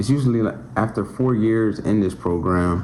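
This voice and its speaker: Male voice with audible echo from the room and noticeable noise behind it. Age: 20s. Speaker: electrical apprentice, vlogger. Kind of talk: casual talk to camera. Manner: halting.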